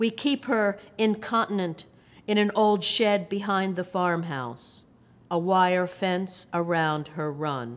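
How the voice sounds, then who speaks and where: The woman's intonation is lively. She talks at a very slow pace. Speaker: poet and professor. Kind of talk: poetry reading with brief intro. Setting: video recording. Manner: measured, expressive, reflective. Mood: calm, measured, tender. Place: hall.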